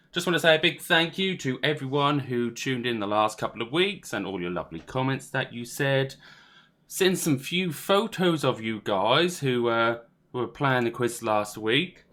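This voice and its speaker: With a Norfolk accent, a man of medium pitch speaks in a bright, sharp tone with lively intonation. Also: moderate pace. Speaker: quiz host. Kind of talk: live virtual quiz hosting. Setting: live stream with video call participants.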